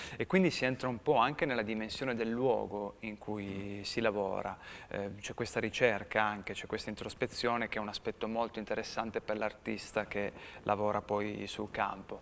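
A man talks at a moderate pace with a fairly low pitch and fairly even intonation. Light background noise is present. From Turin, Italy; Italy. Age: middle-aged. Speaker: street artist; guest. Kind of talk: interview. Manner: halting. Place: studio. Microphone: lapel.

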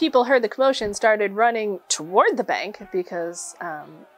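With ordinary pitch variation, a woman talks at a moderate speed. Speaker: presenter. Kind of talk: history storytelling talk.

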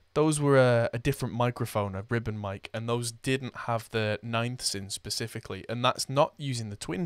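A man talks at a moderate pace with ordinary pitch variation. The sound is dry with no echo over a quiet background. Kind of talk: tutorial. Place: studio.

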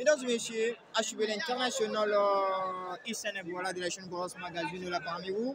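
A man's high-pitched voice with lively intonation at a moderate pace, dry with no echo, crowd noise behind. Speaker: martial arts commentator. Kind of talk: live commentary of a fight, addressing an audience. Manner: halting, hesitant, with many fillers and repeats. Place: hall.

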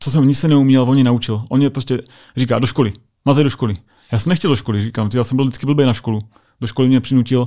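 A man talks at a very fast pace in a dark, mellow tone. His pitch varies in an ordinary way over a quiet background. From Czech Republic, Brno; Czech Republic. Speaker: US Air Force sergeant; podcast guest. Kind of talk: interview. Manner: halting, many fillers. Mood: personal, emotional story. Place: studio. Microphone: studio mic.

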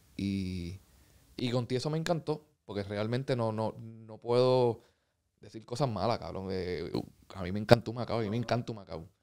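The loudness swings widely from moment to moment. The pace is moderate and the pitch varies in an ordinary way. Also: man, quiet background. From Puerto Rico. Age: 30s. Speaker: professional basketball player; guest. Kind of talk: casual interview. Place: studio. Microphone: studio mic.

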